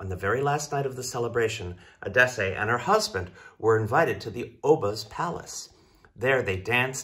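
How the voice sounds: Intonation here is lively. The reading voice itself sounds natural.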